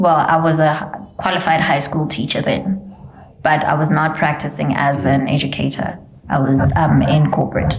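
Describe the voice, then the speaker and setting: With audible room echo and noticeable background noise, a woman with a Botswana accent speaks at a fairly slow pace in a very deep, low pitch. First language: Setswana. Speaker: preschool founder and former teacher. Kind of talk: interview. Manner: loud; code-switching between English and Setswana.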